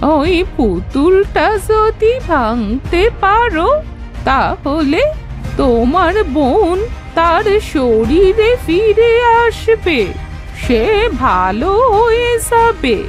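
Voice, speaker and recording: A woman's cartoonish character voice, extremely high-pitched and very slow, with clear music in the background. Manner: warm, advising.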